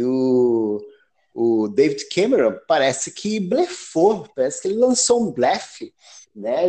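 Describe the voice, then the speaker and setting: A dark, mellow tone with lively intonation at a very slow pace. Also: man. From Brazil. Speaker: psychiatric nurse, healthcare quality improvement. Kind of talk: casual chat. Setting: call.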